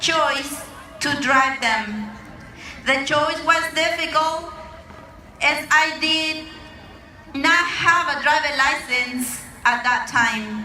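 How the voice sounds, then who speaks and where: A woman with a Mexican accent projects her high voice at a very slow pace, leaving long, frequent pauses with ordinary pitch variation. There is audible room echo and noticeable background noise. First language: Mazahua. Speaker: immigrant rights organizer. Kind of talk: rally speech.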